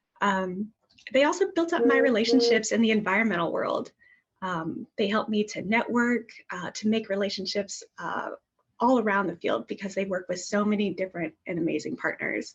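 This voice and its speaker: A woman talks at a moderate pace and medium pitch, somewhat breathy, with ordinary pitch variation. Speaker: former program staffer, grants manager. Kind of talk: webinar panel presentation. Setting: virtual webinar.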